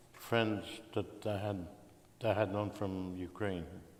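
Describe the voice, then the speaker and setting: There is audible room echo around the man's fairly low voice. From Belgium. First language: Russian. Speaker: Holocaust survivor. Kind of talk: interview testimony.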